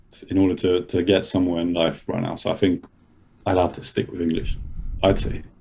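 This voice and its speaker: A man's somewhat breathy voice moves along at a moderate speed. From Madrid, Spain, then London. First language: Spanish. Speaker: podcast guest. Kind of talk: casual chat.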